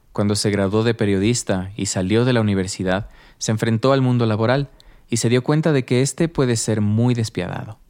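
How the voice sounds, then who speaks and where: A man with a plain, everyday voice, medium in pitch and very even in loudness, at a moderate pace on a very clean recording with a silent background. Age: 30s. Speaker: podcast host and narrator. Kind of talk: scripted narration.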